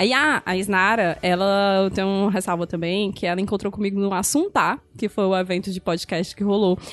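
Hardly pausing, a woman with a normal speaking voice talks at a moderate pace, her pitch medium and her intonation fairly even. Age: 30s. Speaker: podcast host. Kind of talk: casual chat.

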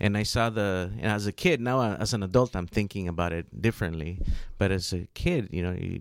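A man speaks in an unremarkable speaking voice, fairly low in pitch, at a moderate pace with ordinary pitch variation. The recording is very clean, with a silent background. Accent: American. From US, Los Angeles (South Central). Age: 40s. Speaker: environmental justice advocate. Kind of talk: radio interview.

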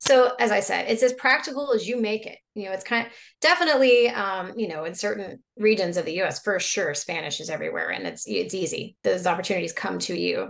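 In an American accent, a woman with a plain, everyday voice speaks at a medium pitch and a fairly quick pace. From Oklahoma. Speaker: French teacher. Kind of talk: casual conversation.

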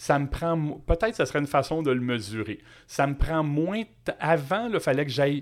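In a Quebec accent, a man speaks in an animated tone at a fairly high pitch on a very clean recording with a silent background. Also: lively intonation, moderate pace. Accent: Québécois French. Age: 50s. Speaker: entrepreneur. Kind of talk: casual interview.

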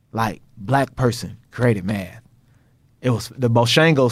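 With an American accent and a plain, everyday voice, a man speaks at medium pitch with fairly even intonation on a very clean recording with a silent background. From Texas. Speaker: math professor. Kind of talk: casual interview chat. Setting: studio, sitting across from host.

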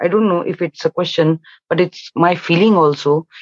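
A woman's fairly low voice in an Indian accent, with fairly even intonation and a dry, close sound free of echo

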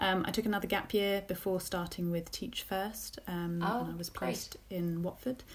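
A woman speaks with a southern English accent at a medium pitch. Her intonation is fairly even, with hardly any pauses. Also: moderate pace. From southern England, Luton. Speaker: teacher and education project founder. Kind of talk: interview. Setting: remote recording from home.

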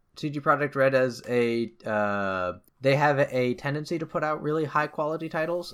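Lively intonation marks this man's unremarkable speaking voice, set at a fairly high pitch on a very clean recording with a silent background. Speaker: video game podcast host. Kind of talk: casual chat.

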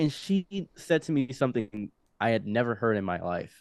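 A plain, everyday voice of a man with an American accent, medium pitch and moderate pace, in a dry, close sound with no echo. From Egypt and Detroit. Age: 20s. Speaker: podcast guest telling life story. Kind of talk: casual interview storytelling. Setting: studio.

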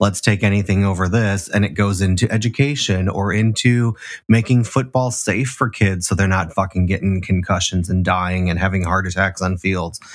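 With an American accent and an unremarkable speaking voice, a man talks at a moderate pace with hardly any pauses, fairly low pitch and fairly even intonation, in a very clean recording with a silent background. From Chicago, South Side. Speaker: podcast host. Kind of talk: casual chat.

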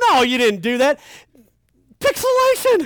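Over a silent background in a very clean recording, a man speaks with a Kentucky accent. His tone is animated and his pace fairly slow. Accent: Kentucky Southern US. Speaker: pastor. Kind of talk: sermon. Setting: youth camp with audience.

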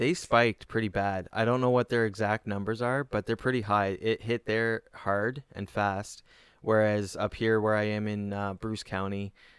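A man with a Canadian accent uses an ordinary speaking voice at a moderate pace, his intonation fairly even and the sound dry and close with no echo. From Kitchener, Ontario, Canada. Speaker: comedian and podcast host. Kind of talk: casual chat.

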